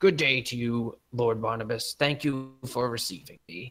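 A man does a put-on character voice at medium pitch, his loudness swinging a lot. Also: moderate pace. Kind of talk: formal, polite. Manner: haughty, stuffy.

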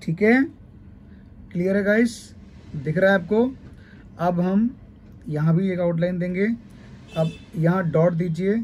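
A man with a high voice speaks with ordinary pitch variation, leaving long, frequent pauses. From Uttar Pradesh, India (Kannauj). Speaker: mehndi artist and teacher. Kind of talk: tutorial.

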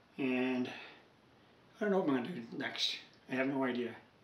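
The room echo is easy to hear as a man talks at a medium pace. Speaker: hobbyist radio collector. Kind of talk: casual vlog chat. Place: workshop.

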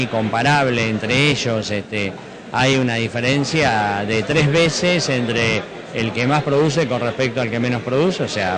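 Over noticeable background noise, a man speaks at a moderate pace with ordinary pitch variation. The sound is dry, with no echo. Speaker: conference speaker. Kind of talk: interview answer. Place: hall. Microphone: handheld.

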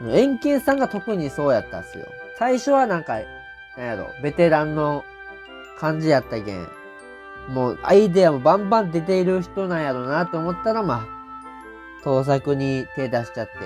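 A man with a Saga accent speaks at a fairly high pitch, his voice swinging very widely up and down. Music plays in the background. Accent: Kyushu (Saga) dialect. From Saga Prefecture, Japan. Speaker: comedian. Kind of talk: casual TV drama review talk to camera.

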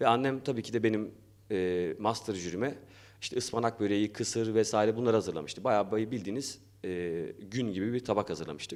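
At a very fast pace, a man speaks with a fairly low voice. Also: ordinary pitch variation. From Turkey, Erzurum. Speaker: academic and arts association founder. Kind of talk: opening speech. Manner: halting, many fillers.

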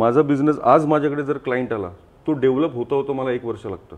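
He has a plain, everyday voice. The man's medium pitch shows ordinary variation. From Mumbai, India (Lalbaug chawl). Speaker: entrepreneur. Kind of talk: interview. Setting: studio.

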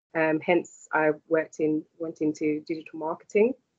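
In a quiet background, a woman with a London accent and a very deep, low pitch speaks at a moderate pace with fairly even intonation. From London, England. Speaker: university lecturer in digital marketing. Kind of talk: interview. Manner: hesitant, many fillers. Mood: warm, encouraging. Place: home room. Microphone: video call.

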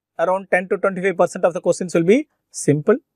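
A man's voice against a quiet background. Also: dry sound with no echo. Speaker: medical teacher. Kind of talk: lecture.

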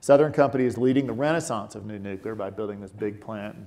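The man's voice has a dark, mellow tone. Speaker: energy company CEO. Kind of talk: onstage interview. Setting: stage with audience. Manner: measured. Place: stage. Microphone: lapel.

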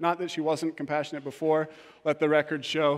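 Quiet surroundings behind a male speaker. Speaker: preacher. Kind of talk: sermon. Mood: humorous, warm storytelling. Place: church.

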